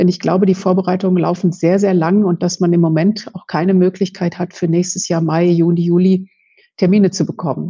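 Somewhat breathy, a woman speaks in a dark, mellow tone at a medium pitch with monotone, flat intonation. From Westphalia, Germany. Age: 50s. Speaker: lawyer. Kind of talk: expert interview. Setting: remote call.

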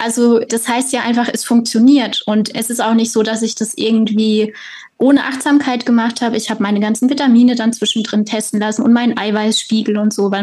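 A woman speaks at a fairly quick pace with hardly any pauses. Her fairly high voice stays monotone and flat. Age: 30s. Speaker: author and patient. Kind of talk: personal testimony interview.

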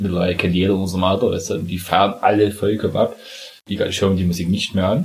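A man talks at a very fast pace. His voice is fairly low and somewhat breathy. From Saxony, eastern Germany. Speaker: podcast co-host. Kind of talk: casual chat.

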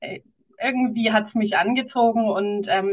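A woman speaks with a normal speaking voice. Her intonation stays fairly even. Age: 40s. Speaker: founder and podcast guest. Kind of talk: casual interview chat.

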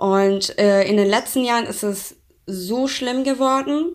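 A woman with a Persian accent and ordinary pitch variation, on a very clean recording with a silent background. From Iran. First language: Persian (speaking German). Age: 20s. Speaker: interview guest. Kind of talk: interview.

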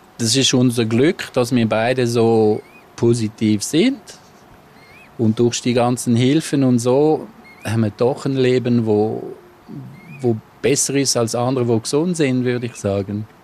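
At a fairly slow pace, a man with a medium pitch and fairly even intonation speaks with long, frequent pauses over noticeable background noise. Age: 50s. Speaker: husband and caregiver. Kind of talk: interview.

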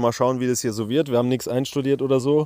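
At a medium pitch, a man speaks with a dark, mellow tone and fairly even intonation on a very clean recording with a silent background. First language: German. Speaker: podcast host, round-the-world cyclist. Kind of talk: casual chat. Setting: outdoors at a tent camp.

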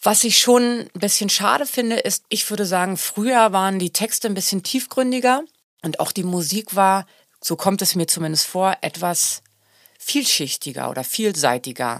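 With a plain, everyday voice, a woman speaks at a moderate pace and a medium pitch with lively intonation, on a very clean recording with a silent background. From Germany. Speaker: singer. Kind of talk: casual chat.

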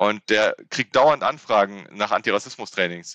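A man's fairly low voice, bright and sharp in tone, with ordinary pitch variation and a dry, close sound with no echo. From Germany, Rhineland (Frechen near Cologne). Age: 30s. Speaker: civil servant, intercultural trainer and comedian. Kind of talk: interview.

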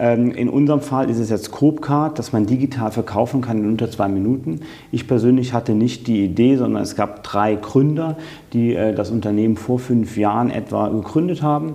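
Speaking at a moderate pace, a man holds a medium pitch with ordinary variation. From western Germany, Eifel region between Cologne and Trier. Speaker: business executive. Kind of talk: interview. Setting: in person in Düsseldorf.

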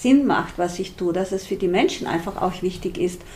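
Here a woman is speaking. She has an Austrian accent. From Austria, rural Styria. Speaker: social entrepreneur. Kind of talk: interview.

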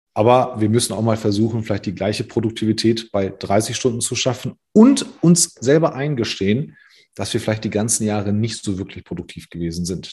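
Against a quiet background, a somewhat breathy man talks at a moderate pace with ordinary pitch variation. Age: 40s. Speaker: recruiting consultant. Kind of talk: casual interview.

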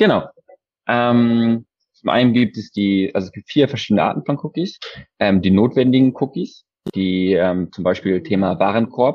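At a moderate pace with long, frequent pauses, a man speaks at a medium pitch with ordinary pitch variation. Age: 20s. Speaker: e-commerce customer experience advisor. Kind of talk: interview.

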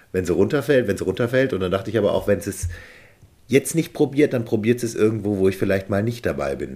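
A dark, mellow tone carries pitch that varies in an ordinary way. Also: man. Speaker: success coach, podcast co-host. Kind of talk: interview conversation.

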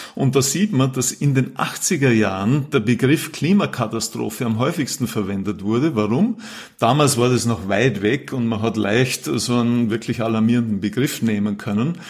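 This man has a normal speaking voice. His pitch sits in the medium range and varies in an ordinary way. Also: moderate pace. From Austria, Vorarlberg. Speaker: climate policy professor. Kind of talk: interview.

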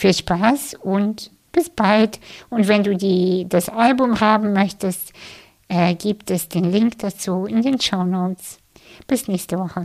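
Speaking very slowly, a woman with a medium-pitched voice has a calm, soothing tone and ordinary pitch variation. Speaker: podcast host and meditation guide. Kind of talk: guided meditation. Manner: slow, soft, calm and soothing with long pauses; gentle, inviting, addressing listener intimately.

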